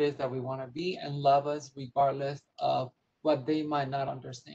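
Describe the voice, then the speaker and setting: A woman speaks in a very deep, low voice with a dark, mellow tone. She sounds somewhat breathy and keeps a moderate pace. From Puerto Rico. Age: 50s. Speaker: nonprofit executive; panelist. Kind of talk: panel discussion. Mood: earnest, advocacy tone. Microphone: video call.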